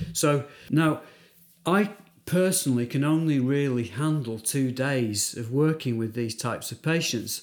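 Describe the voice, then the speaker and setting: A man with a British accent speaks at a fairly slow pace. His fairly high pitch has ordinary variation. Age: 50s. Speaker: dentist, prosthodontics specialist. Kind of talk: interview, clinical discussion.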